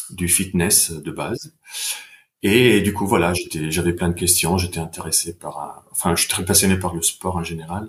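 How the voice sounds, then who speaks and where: At a moderate pace, a man speaks with a very deep, low pitch. His intonation stays fairly even. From Italy, Bergamo. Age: 40s. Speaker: sports science researcher. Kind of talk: podcast interview. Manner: hesitant, with fillers.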